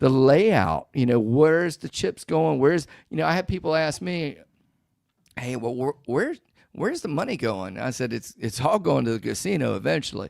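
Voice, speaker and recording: Loud male speech at a fairly high pitch, swinging very widely in pitch at a moderate pace, on a very clean recording with a silent background. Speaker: craps player and educator. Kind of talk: casual chat. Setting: live stream. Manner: halting.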